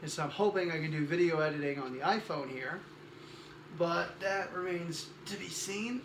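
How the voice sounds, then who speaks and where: A soft-spoken man talks at a moderate pace with ordinary pitch variation, amid noticeable background noise and audible room echo. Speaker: cosplayer vlogger. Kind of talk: casual vlog. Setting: guest room at home.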